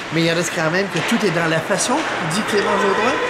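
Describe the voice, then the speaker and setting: A man speaks with a Quebec accent. Loud background noise is present. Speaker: sports commentator. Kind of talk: post-game hockey match recap commentary. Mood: calm, mildly critical. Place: stadium. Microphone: phone near.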